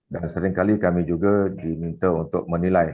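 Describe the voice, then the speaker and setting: A man's very deep, low voice at a fairly quick pace, with fairly even intonation. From Singapore. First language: Malay (speaking Indonesian). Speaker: business consultant and invited speaker. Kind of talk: conference talk. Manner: hesitant with fillers.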